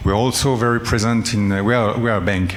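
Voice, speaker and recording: Speaking with a French accent, a man is heard through audible room echo and noticeable background noise. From France. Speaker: development bank director. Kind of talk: panel discussion. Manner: halting, many fillers.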